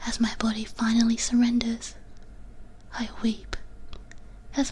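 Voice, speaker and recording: A soft-spoken woman whispers at a very slow pace against noticeable background noise. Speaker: vtuber, ASMR streamer. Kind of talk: ASMR whispered reading of copypasta. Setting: binaural ASMR microphone. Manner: whispered, soft.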